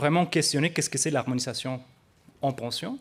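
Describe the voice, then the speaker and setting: A man with a non-native accent, fairly high pitch and ordinary pitch variation. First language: not French (speaking French). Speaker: researcher. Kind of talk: conference presentation. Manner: hesitant, many fillers.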